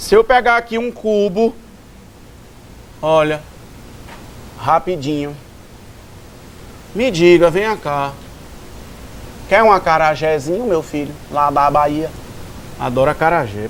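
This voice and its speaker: A man with a fairly high pitch speaks at a fairly slow pace with lively intonation. He leaves long, frequent pauses. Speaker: maths teacher. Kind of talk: lecture.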